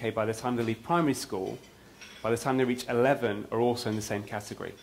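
The speaker is a man. He talks fairly quickly, with fairly even intonation. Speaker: conference speaker. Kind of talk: lecture. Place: hall. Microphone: lapel.

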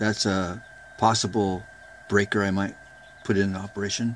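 A man speaks at a moderate pace in a fairly low voice with fairly even intonation over light background noise. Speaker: amateur radio hobbyist. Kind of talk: casual show-and-tell tutorial. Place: workshop. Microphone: phone near.

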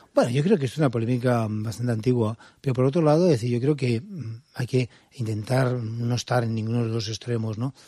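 Recorded very cleanly against a silent background, a man's dark, mellow tone sits at a medium pitch with fairly even intonation. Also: fairly quick pace. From Spain, Valencia. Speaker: museum director. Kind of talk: interview. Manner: calm.

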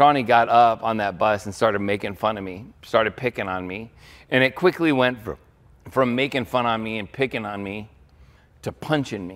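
A man speaks at a moderate pace with ordinary pitch variation and big swings in loudness. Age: 50s. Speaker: pastor. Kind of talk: sermon. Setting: church. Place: church. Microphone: headset.

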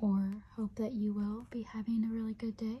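A soft-spoken voice at a fairly slow pace. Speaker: ASMR puzzle channel host. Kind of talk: ASMR puzzle video, soft-spoken talk to camera. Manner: soft-spoken, slow.

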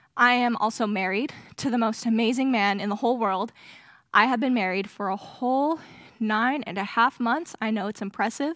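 A woman speaks at a fairly quick pace with ordinary pitch variation. The sound is dry with no echo, and the background is quiet. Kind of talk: sermon. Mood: a little nervous, warm. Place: stage. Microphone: headset.

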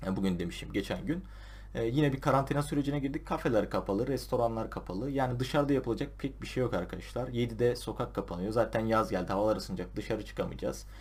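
At a very fast pace, a man speaks with hardly any pauses. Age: 20s. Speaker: school counselor. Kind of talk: advice talk to camera.

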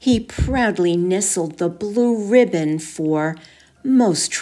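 The intonation rises and falls in a lively way as the text is read naturally.

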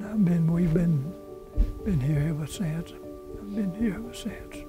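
A man speaks at a fairly slow pace, with a dry sound and no echo. Clear music plays in the background. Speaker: interviewee. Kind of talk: interview answer. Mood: warm, reminiscing. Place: church. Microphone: lapel.

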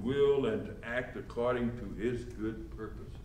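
Light background noise accompanies this man. The room echo is clearly audible. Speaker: pastor. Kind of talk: sermon. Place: church. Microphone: camera far.

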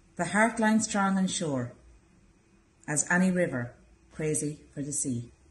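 A soft-spoken woman with an Irish accent, fairly low pitch, a somewhat breathy quality, lively intonation, a fairly slow pace and long, frequent pauses. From Ireland. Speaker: library staff member. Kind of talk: poem reading, measured and contemplative. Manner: soft, reflective. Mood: calm, tender. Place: hall.

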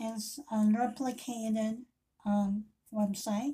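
The woman talks in a tone that is dark and mellow. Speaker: independent hair accessory seller. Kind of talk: casual product intro vlog. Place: home room. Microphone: webcam.

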